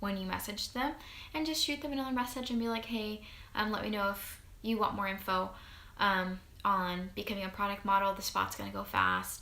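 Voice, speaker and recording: A woman speaks at a medium pitch and a fairly quick pace, with ordinary pitch variation. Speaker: network marketing distributor. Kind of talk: tutorial. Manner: fast; animated.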